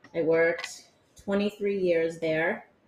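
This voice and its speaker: An American accent with fairly even intonation over noticeable background noise. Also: woman. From Massachusetts. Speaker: youth program director. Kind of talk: casual interview. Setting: studio.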